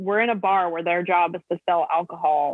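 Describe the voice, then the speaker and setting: Speaking with an American accent, a woman with a fairly low pitch keeps a monotone, flat intonation at a moderate pace. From US West Coast, Los Angeles. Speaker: singer-songwriter. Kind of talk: interview.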